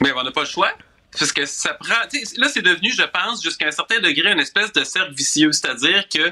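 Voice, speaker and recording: This man has a normal speaking voice with a fairly high pitch. He talks at a fairly quick pace with lively intonation. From Quebec City suburbs (Charlesbourg). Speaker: political columnist. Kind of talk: radio commentary.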